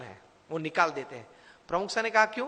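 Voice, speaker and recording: The voice is raised and projected. Its pitch varies in an ordinary way. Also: man. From India, Gujarat. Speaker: motivational speaker and spiritual leader. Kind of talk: motivational speech.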